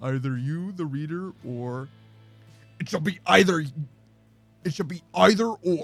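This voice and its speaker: With faint music behind him, a man uses a put-on character voice at fairly high pitch, keeping a moderate pace broken by long, frequent pauses. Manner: gloomy, slow.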